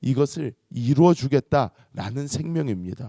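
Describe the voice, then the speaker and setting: A man with an unremarkable speaking voice talks fairly slowly at a fairly high pitch. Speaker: pastor. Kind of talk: sermon; fervent prayer. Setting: church. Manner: earnest, pleading.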